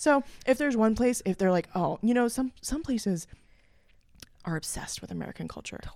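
The voice rises and falls in lively intonation at a fairly quick pace, with big swings in loudness and long, frequent pauses. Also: woman, fairly high pitch for a woman. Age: 30s.

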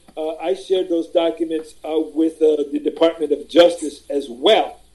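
Keeping a fairly even intonation, a man speaks at a moderate pace in a high pitch. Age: 50s. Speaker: author and former school district worker. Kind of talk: interview.

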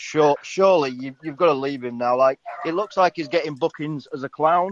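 The recording is dry and close with no echo, and a man with an English accent speaks at a fairly high pitch. His intonation is lively. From England. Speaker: caller. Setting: phone call. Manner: halting, filler-heavy.

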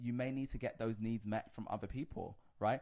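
A man with a London accent at a very fast pace, fairly even in intonation, over a quiet background. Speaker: reality TV personality. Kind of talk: casual chat.

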